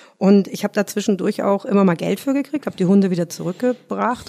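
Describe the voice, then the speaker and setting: At a very fast pace, a woman speaks with medium pitch and ordinary pitch variation in a dry, close sound with no echo. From Rhineland, Germany (between Cologne and Düsseldorf). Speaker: dog trainer and animal psychologist. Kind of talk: casual interview.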